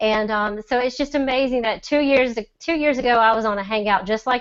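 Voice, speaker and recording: A woman talks in a Southern US accent. Her pitch varies in an ordinary way. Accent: Southern drawl. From Mississippi. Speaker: e-commerce seller. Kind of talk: testimony. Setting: video call.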